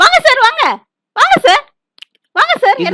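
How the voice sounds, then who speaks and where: A woman puts on a squeaky character voice with an extremely high pitch and very wide pitch swings, at a moderate pace, the sound dry and close with no echo. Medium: comedy sketch. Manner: chatty, teasing.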